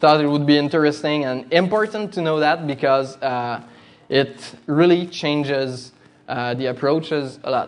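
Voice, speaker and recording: A man with a Quebec accent speaks at a fairly slow pace and fairly high pitch, with fairly even intonation and audible room echo. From Quebec, Canada. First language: French. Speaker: demoscene coder and designer giving a talk. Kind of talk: conference presentation. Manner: halting, many fillers.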